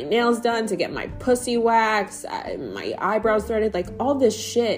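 The speaker has an American accent and a fairly slow pace. Music plays in the background. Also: woman. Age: 30s. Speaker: podcast host. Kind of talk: casual monologue.

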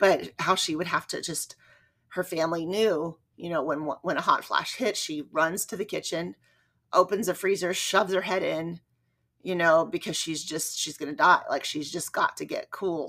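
A woman talks at a moderate pace in a fairly low voice. Her tone is bright and sharp. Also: ordinary pitch variation. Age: 40s. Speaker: running podcast host. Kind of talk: solo podcast monologue. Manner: rambling conversational.

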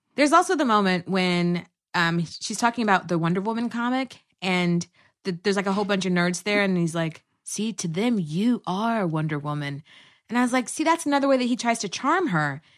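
A woman with an American accent and an ordinary speaking voice talks at a fairly quick pace. Her pitch is medium, and the background is quiet. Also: lively intonation. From Texas. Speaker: actress and comedy producer. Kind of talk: casual chat.

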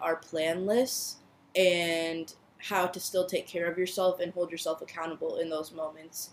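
This woman's voice sits at a fairly low pitch. Her intonation is monotone and flat. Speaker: podcast host. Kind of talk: heartfelt pep talk, solo podcast monologue. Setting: solo home recording. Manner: warm, earnest, reassuring, with filler words and repeated phrases.

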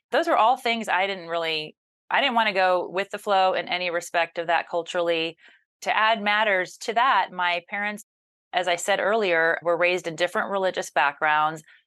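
A woman with an American accent speaks at a moderate pace and medium pitch, her bright, sharp tone showing ordinary pitch variation over a quiet background. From US South. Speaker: journalist and news anchor. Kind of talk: interview.

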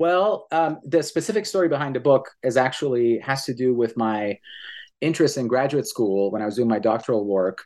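A man has an ordinary speaking voice at a medium pitch, with lively intonation. He talks at a fairly quick pace against a quiet background. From Iran, Tehran; Canada from age 15. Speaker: professor and author. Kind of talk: interview about his book.

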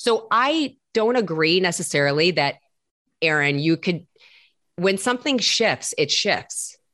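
Against a quiet background, a woman with an animated, bright, sharp tone speaks at a fairly slow pace and medium pitch, her pitch swinging very widely while her loudness stays very even. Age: 50s. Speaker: celebrity personal trainer. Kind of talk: casual chat.

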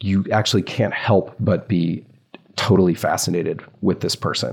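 A man with an American accent and a fairly low pitch has an ordinary speaking voice. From US South. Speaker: journalist and author. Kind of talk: casual interview chat.

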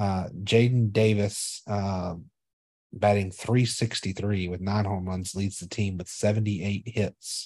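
The voice has a dark, mellow tone and fairly even intonation at a fairly slow pace. The background is quiet. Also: man. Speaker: podcast co-host. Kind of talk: casual chat.

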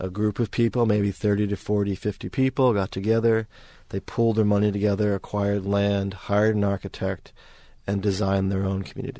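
Over a quiet background, a man with a New York accent speaks at a fairly low pitch in a dark, mellow tone, monotone and flat, at a fairly quick pace. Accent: New York American. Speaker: architecture academic. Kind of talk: interview.

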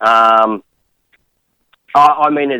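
A man's bright, sharp tone with an Australian accent, fairly even intonation, and a dry, close sound with no echo. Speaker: caller. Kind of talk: casual chat. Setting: phone call.

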